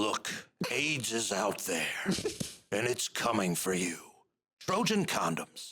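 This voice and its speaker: A man's put-on character voice, raspy and medium-pitched, broken by long, frequent pauses. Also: fairly slow pace. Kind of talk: ad copy announcer. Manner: serious, dramatic.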